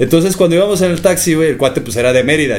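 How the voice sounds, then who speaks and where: Lively intonation from a man, with audible room echo. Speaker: podcast host. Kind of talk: casual chat. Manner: fast.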